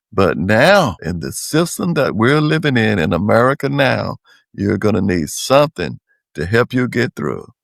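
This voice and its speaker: In a very clean recording with a silent background and a dry, close sound with no echo, a man uses vocal fry and very wide pitch swings. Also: medium pitch for a man, moderate pace. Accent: North Carolina. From North Carolina, Wake County. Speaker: public servant and community leader. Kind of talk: interview.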